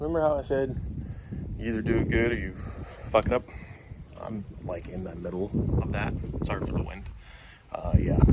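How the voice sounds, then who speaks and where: The speech goes at a moderate pace. Background noise is noticeable throughout. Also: man. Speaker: car hobbyist YouTuber. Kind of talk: casual tutorial vlog. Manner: whispering.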